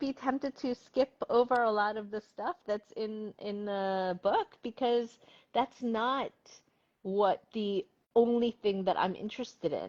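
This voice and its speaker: In a dry, close recording with no echo, a woman with a fairly high pitch and an American accent speaks at a moderate pace with lively intonation. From Korea, moved to US at eleven. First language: Korean. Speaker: novelist. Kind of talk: interview.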